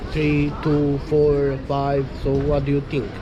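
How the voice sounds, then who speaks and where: Over noticeable background noise and audible room echo, a man with a non-native accent speaks at a fairly high pitch. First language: not English. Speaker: passerby. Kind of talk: casual chat. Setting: outdoors. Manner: halting.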